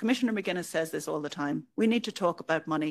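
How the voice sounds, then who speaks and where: A woman with an Irish accent, a medium pitch and lively intonation, on a very clean recording with a silent background. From Ireland. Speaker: EU official. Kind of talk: conference speech.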